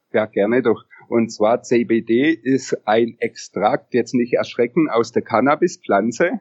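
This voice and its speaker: A man talks at a very slow pace, his loudness very even throughout. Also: medium pitch for a man, ordinary pitch variation. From Upper Bavaria, Germany. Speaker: CBD product entrepreneur. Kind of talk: interview. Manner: hesitant, many filler sounds.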